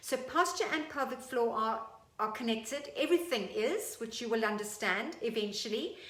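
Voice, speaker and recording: Amid noticeable background noise and audible room echo, a woman with a high pitch speaks at a moderate pace in an animated tone with lively intonation. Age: 50s. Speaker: fitness instructor. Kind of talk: tutorial.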